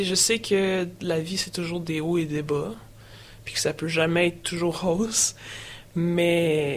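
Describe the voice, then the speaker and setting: A woman with a Quebec accent speaks very slowly at a fairly low pitch, her intonation fairly even, with noticeable background noise. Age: young. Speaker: person sharing her mental health story. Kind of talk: testimony. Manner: hesitant, many fillers.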